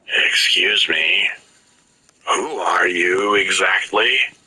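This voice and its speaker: A man uses a put-on, raspy character voice. He speaks at a very slow pace. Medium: read story. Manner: polite, articulate, matter-of-fact.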